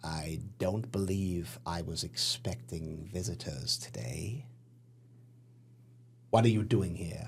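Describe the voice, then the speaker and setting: Using a creaky, put-on character voice, a man speaks fairly slowly at a very deep, low pitch, with very wide pitch swings and long, frequent pauses. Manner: wary, suspicious.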